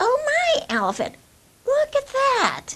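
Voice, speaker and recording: In a put-on character voice, a woman squeaks at an extremely high pitch, speaking at a fairly slow pace. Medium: read story. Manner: wheedling, sly.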